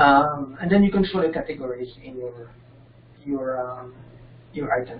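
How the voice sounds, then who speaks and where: A man with a non-native accent and a fairly high voice talks at a moderate pace with ordinary pitch variation, leaving long, frequent pauses, over noticeable background noise. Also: big swings in loudness. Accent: foreign. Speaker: software developer presenting his extension. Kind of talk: software tutorial demo. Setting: video call with screen sharing. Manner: halting. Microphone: connection keeps dropping.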